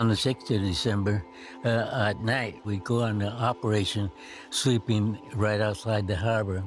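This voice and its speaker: A man's voice sits at a fairly low pitch. Music runs in the background. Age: 80s+. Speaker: war veteran. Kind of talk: testimony. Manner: halting.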